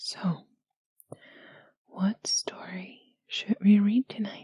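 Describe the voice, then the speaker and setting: A soft-spoken woman's voice, medium in pitch, somewhat breathy, gentle in tone, dark and mellow, at a very slow pace. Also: fairly even intonation, dry, close sound with no echo. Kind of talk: intimate roleplay talk to listener. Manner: soft-spoken, gentle.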